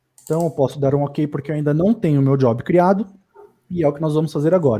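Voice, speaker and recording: A man with a fairly high, somewhat breathy voice and a dark, mellow tone speaks with ordinary pitch variation. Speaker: data engineering instructor. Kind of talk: live tutorial. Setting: livestream.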